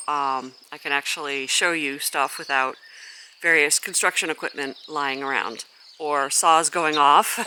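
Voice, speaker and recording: Mumbling, a woman with a very deep, low pitch and a bright, sharp tone shows ordinary pitch variation. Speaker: gardener and channel host. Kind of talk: garden walk-through vlog. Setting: outdoors in a garden. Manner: mumbling a little; casual with frequent fillers.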